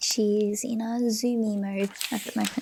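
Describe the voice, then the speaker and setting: Someone with an Australian accent talks over noticeable background noise. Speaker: stationery and journaling youtuber. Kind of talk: casual tutorial flip-through.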